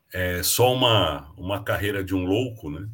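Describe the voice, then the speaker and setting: On a very clean recording with a silent background, a somewhat breathy voice moves at a fairly slow pace with ordinary pitch variation. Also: man. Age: 60s. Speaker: leadership mentor and speaker. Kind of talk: casual interview.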